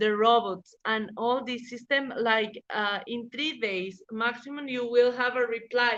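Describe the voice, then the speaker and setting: A woman with a Spanish accent, fairly high pitch and fairly even intonation, at a fairly slow pace with hardly any pauses. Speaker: legal professional. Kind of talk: interview. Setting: podcast interview. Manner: halting, many fillers.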